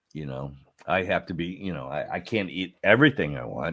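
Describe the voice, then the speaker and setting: This man's voice is very deep and low, with vocal fry. He keeps a moderate pace. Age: 60s. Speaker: podcast host, former adult film performer. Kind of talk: casual chat. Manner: halting.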